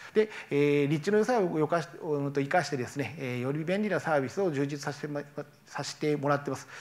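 Here a man with a fairly high pitch talks very fast with ordinary pitch variation. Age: 40s. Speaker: company founder; presenter. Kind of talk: startup pitch. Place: hall. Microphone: lapel.

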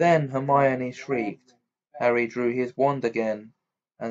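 In an unforced reading voice, the speaker keeps a fairly even intonation over a quiet background.

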